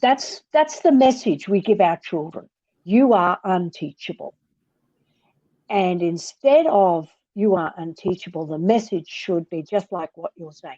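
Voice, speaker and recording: A woman speaks at a fairly slow pace and medium pitch in an Australian accent, her tone dark and mellow and her intonation lively. Her loudness swings widely, in dry, close sound with no echo. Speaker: author and reading educator. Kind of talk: interview conversation. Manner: animated.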